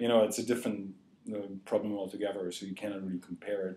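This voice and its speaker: A man with an East German accent speaks at a fairly low pitch in a dark, mellow tone. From East Germany. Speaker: journalism graduate student. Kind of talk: interview answer.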